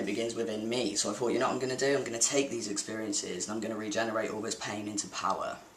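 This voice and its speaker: Noticeable background noise runs behind the recording. A man talks at a very fast pace in a medium pitch. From Devon, England. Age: 20s. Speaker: diversity campaigner. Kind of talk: vlog talk to camera.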